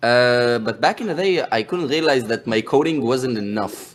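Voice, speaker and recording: A man with an Israeli accent, medium pitch, ordinary pitch variation and a moderate pace, on a very clean recording with a silent background. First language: Hebrew. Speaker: game project founder. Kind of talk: podcast interview. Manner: halting, many hesitations and repetitions.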